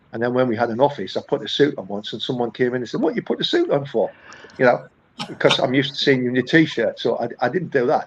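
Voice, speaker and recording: He speaks with a northern English accent. The man's pace is very fast. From northern England. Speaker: accountant, firm founder. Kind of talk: podcast interview. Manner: conversational, many hesitations and repeats.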